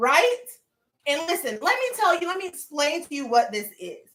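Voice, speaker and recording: A woman with a Southern accent speaks in a raised, projected voice, her tone animated, bright and sharp. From US South. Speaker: lifestyle vlogger. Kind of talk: live stream unboxing chat. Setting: home livestream.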